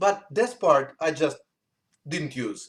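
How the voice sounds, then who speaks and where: Here a man speaks with a Russian accent at a fairly slow pace. His intonation is lively. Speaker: musician. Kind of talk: interview. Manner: halting.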